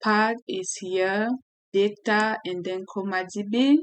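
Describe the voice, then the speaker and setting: A woman talks with a French accent. Her intonation stays fairly even. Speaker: software developer, tech tutorial creator. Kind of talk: tutorial. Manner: halting, with self-corrections.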